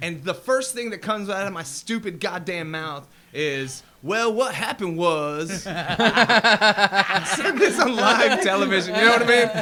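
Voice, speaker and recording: Over noticeable background noise, a man with an American accent speaks in a raised, projected voice, high-pitched and at a fairly slow pace. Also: lively intonation. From England, later South Georgia. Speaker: local musician. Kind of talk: casual podcast chat. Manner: dry.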